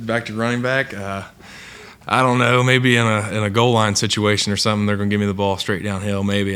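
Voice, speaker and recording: Speaking at a fairly quick pace with an Appalachian accent, a man keeps a fairly low pitch and fairly even intonation amid audible room echo. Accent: Appalachian accent, noticeable. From southern Ohio, Appalachian area near Ironton. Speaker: college football player. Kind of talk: press conference interview. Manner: hesitant, many filler words.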